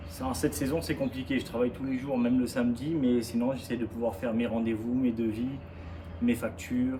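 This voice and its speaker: A man speaks at a fairly quick pace, with audible room echo around him. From southern France, Carros near Nice. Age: 20s. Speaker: gardener and business owner. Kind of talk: interview.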